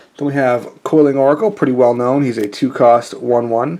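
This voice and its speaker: Background noise is noticeable throughout. The man's pitch varies in an ordinary way. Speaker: card game youtuber. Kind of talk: deck tech tutorial. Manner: casual, many fillers.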